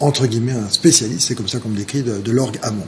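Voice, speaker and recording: A man with a Parisian accent talks over noticeable background noise. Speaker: jazz organist. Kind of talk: TV interview. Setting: TV studio. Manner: halting, many hesitations.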